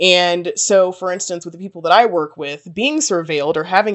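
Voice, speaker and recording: With an American accent, a woman has an unremarkable speaking voice, fairly low in pitch, with ordinary pitch variation. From Texas. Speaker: PhD student researcher. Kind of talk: interview.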